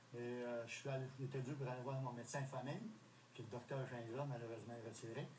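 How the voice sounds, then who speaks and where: With audible room echo and noticeable background noise, a man talks at a moderate pace and medium pitch, his intonation fairly even. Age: 70s. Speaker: retiree, heart surgery patient. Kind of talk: TV interview.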